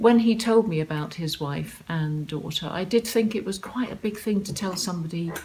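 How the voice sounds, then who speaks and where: In a southern English accent, a woman talks at a moderate pace with a fairly low pitch and ordinary pitch variation. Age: 60s. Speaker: online dater. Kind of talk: interview answer.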